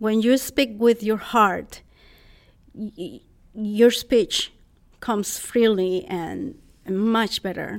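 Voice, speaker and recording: A woman with a Costa Rican accent, fairly high in pitch, at a very slow pace with long, frequent pauses and ordinary pitch variation. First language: Spanish. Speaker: public speaker. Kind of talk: interview.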